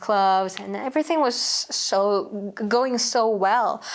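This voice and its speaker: Very slow speech with lively intonation, on a very clean recording against a silent background. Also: woman. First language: Uighur. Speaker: human rights activist. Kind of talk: interview. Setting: seated interview. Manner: halting.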